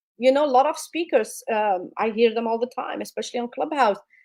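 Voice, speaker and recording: A woman speaks with a non-native accent. Her pace is fairly quick and her intonation lively. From immigrant, non-English-speaking country. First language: not English. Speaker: public speaking coach. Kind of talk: interview advice.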